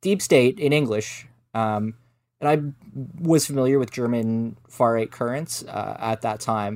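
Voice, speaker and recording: In a plain, everyday voice, a man speaks at a fairly slow pace with a medium pitch and ordinary pitch variation. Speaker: journalist and researcher. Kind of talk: interview. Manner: measured, frequent filler words.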